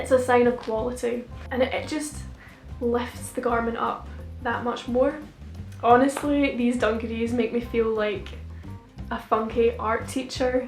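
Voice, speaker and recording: Speaking with a Scottish accent at a fairly slow pace, the voice leaves long, frequent pauses while music plays in the background. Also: woman. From Scotland. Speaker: fashion student. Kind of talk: casual talk to camera. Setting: home recording, camera mic.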